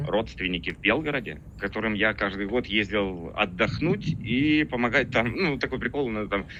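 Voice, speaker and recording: The speaker's tone is bright and sharp, with lively intonation, a moderate pace, hardly any pauses, and a quiet background. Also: man, fairly low pitch for a man. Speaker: soldier, anti-tank unit operator. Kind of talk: interview answer.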